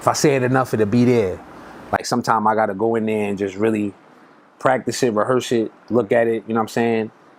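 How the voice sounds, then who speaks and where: Over noticeable background noise, a man with a Brooklyn accent talks at a very fast pace in a monotone, flat intonation. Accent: New York (Brooklyn). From Brooklyn, New York. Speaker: rapper. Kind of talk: interview. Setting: recording studio. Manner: casual, filler-heavy.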